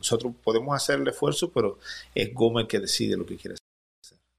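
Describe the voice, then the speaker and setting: Recorded very cleanly against a silent background, a man speaks at a fairly quick pace. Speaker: young boxing promoter. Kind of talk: interview conversation.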